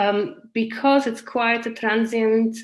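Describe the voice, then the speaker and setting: A woman with a Polish accent talks at a fairly slow pace over a quiet background. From Poland. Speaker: community garden project leader. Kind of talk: webinar talk. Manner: hesitant, many fillers.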